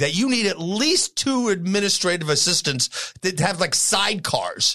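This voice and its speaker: Speaking with an American accent, the voice has an animated tone and lively intonation. The pace is fairly slow. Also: man. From New York. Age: 50s. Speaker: auto repair business owner and podcast host. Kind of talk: casual chat.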